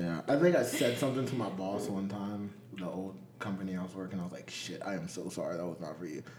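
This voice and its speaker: Noticeable background noise runs under a man talking at a very fast pace. His pitch is fairly low, with big swings in loudness. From Virginia. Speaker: podcast host. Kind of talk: casual chat. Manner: laid-back, profane.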